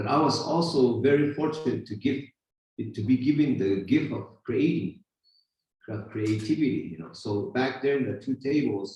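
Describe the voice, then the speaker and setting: With lively intonation and a somewhat breathy sound, a man talks at a fairly slow pace. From Hopi, northeast Arizona. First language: Hopi. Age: 50s. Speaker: spiritual teacher and silversmith. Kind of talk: talk at a gathering. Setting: retreat gathering with audience.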